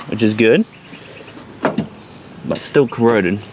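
Over noticeable background noise, a man speaks at a moderate pace. The sound is dry, with no echo. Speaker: car hobbyist vlogger. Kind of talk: casual vlog commentary while working. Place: garden.

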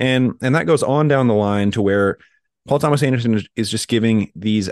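A man's medium-pitched, normal speaking voice with lively intonation. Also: dry, close sound with no echo. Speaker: film podcast co-host. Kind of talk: casual chat.

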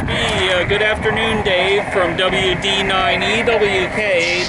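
Over loud background noise, a man speaks at a very slow pace with a dry sound and no echo. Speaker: radio amateur. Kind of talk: radio contact exchange. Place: street. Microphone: headset.

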